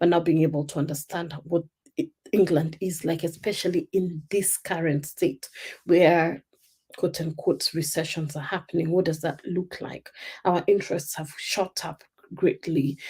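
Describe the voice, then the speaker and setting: With a Kenyan accent, a woman speaks in a fairly low pitch, somewhat breathy, with a dark, mellow tone and monotone, flat intonation, on a very clean recording with a silent background. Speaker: life coach. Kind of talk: live stream talk. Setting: live stream.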